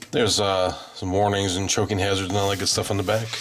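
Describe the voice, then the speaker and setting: This man's fairly low voice comes with noticeable background noise. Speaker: toy collectible reviewer. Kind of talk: product review. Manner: casual, filler-heavy.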